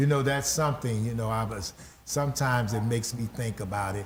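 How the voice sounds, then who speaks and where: A somewhat breathy male voice at medium pitch, fairly quick in pace, with ordinary pitch variation. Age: 60s. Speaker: pastor and talk show host. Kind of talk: interview conversation.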